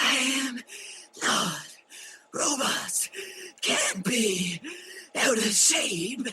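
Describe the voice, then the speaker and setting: A man's cartoonish character voice, extremely high in pitch, at a very slow pace with long, frequent pauses. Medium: puppet show.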